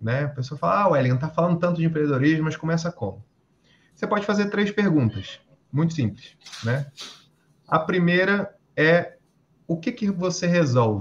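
Pitched fairly high with lively intonation, a man talks at a moderate pace, leaving long, frequent pauses. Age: 30s. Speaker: entrepreneur and electrical engineer. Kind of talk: casual interview.

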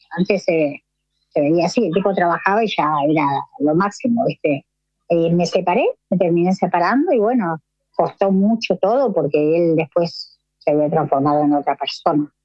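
A woman's plain, everyday voice at a fairly low pitch, at a moderate pace, with ordinary pitch variation and very even loudness. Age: 50s. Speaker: amateur marathon runner searching for her son. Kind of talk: interview testimony.

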